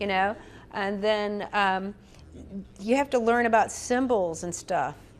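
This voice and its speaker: A woman with a Southern US accent, at a moderate pace and with ordinary pitch variation. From US South, Atlanta. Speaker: spiritual medium and minister. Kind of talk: interview chat.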